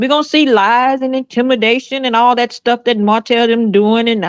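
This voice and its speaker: A woman's fairly high voice at a moderate pace, with ordinary pitch variation and a dry, close sound with no echo. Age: 60s. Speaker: pastor. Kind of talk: preaching in group chat. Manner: emphatic, sermon-like.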